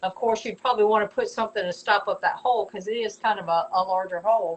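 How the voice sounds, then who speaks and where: A woman talks with a Southern US accent at a fairly high pitch. Her pitch variation is ordinary. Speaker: potter selling her work. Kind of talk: live stream product showcase. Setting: live video stream. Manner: stumbling, repeats words; chatty, casual.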